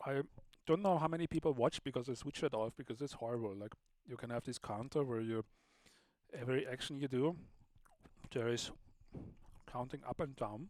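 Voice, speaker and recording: A man talks at a fairly quick pace with medium pitch and ordinary pitch variation. He leaves long, frequent pauses. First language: German. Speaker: livestream host and sound artist. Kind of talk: casual live stream chat. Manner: casual, slightly halting.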